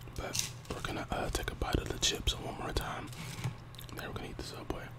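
This voice belongs to a man. Loud background noise runs behind him. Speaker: mukbang creator. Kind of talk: casual vlog chat while eating. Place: home room. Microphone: earbuds.

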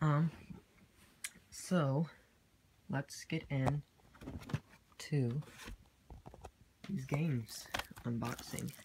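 Over noticeable background noise, a woman with a very deep, low pitch and ordinary pitch variation speaks at a very slow pace with long, frequent pauses. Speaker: gaming youtuber. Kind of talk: unboxing video. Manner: quiet, fading voice. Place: home room. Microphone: phone near.

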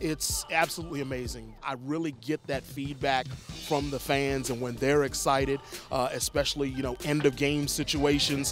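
Fairly even intonation at a moderate pace with hardly any pauses, dry sound with no echo, and clear music in the background. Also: man, fairly high pitch for a man. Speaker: arena public address announcer. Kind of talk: interview answer. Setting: arena. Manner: relaxed, conversational. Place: stadium. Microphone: handheld.

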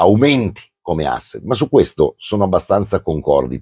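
A man at a fairly slow pace, against a quiet background. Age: 60s. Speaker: football commentator. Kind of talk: casual chat. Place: home room. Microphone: lapel.

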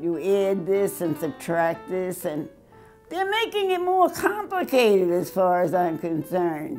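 A woman talks at a fairly slow pace over faint music in the background. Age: 80s+. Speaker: math teacher. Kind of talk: interview. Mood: firm, mildly critical. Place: studio.

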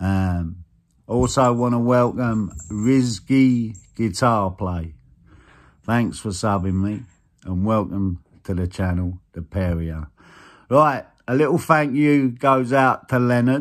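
A man talks at a very slow pace with lively intonation. The background is quiet. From southern England, Kent. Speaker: guitar YouTuber. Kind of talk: casual vlog chat. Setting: recorded video. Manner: hesitant, many fillers. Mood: warm, grateful. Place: home room. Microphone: phone near.

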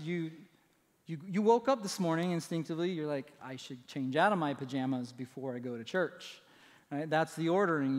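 Ordinary pitch variation at a moderate pace, against a quiet background. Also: man. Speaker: pastor. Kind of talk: sermon. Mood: light, humorous. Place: church. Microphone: headset.

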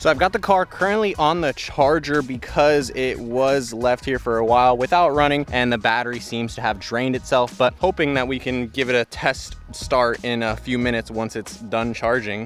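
Moderate pace with hardly any pauses, dry sound with no echo, and faint music in the background. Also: man, ordinary pitch variation. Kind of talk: casual vlog walkaround commentary. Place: street. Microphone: phone near.

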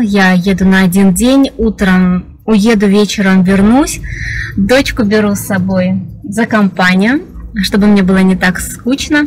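With faint music in the background, a woman speaks with ordinary pitch variation. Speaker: vlogger. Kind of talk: casual vlog chat. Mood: cheerful, chatty. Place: car. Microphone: phone near.

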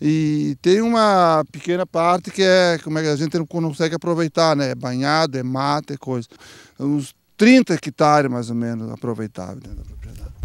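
Recorded dry with no echo, a man talks at a moderate pace in a fairly high pitch. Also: quiet background. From Rio Grande do Sul, Santa Maria area; Rio Grande do Sul, Brazil. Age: 60s. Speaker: dairy farmer. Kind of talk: interview. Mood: calm, explanatory. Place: farm. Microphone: handheld.

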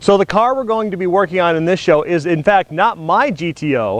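A man speaks at a moderate pace, and the sound is dry with no echo. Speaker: car show host. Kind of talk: casual vlog chat. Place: street.

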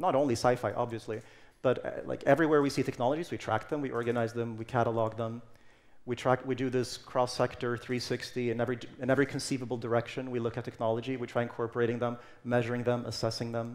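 Speaking at a very fast pace, a man keeps a medium pitch. His intonation stays monotone and flat. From Sweden, Stockholm; Sweden. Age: 30s. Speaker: technology futurist speaker; speaker. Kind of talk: conference talk. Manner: some hesitations and fillers. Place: stage. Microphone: headset.

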